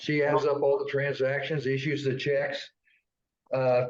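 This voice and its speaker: Speaking at a fairly slow pace with a Midwestern American accent, a man uses a fairly high, somewhat breathy voice. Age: 70s. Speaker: local history webcast co-host. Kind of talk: casual chat. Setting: webcast studio.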